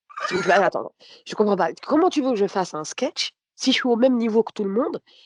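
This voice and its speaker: A woman speaks at a fairly quick pace with a fairly high pitch, very wide pitch swings and big swings in loudness, recorded with a dry, close sound and no echo. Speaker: comedian. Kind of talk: casual chat.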